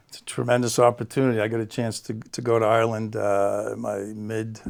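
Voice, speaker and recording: A man with a Boston accent at a medium pitch, in a monotone with flat intonation, on a very clean recording with a silent background. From Boston area, Massachusetts (South Shore). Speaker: guest, school district staff. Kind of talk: interview.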